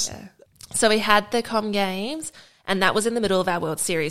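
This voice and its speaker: With an Australian accent, a woman talks at a fairly quick pace with ordinary pitch variation on a very clean recording with a silent background. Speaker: Olympic rugby sevens player. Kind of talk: interview.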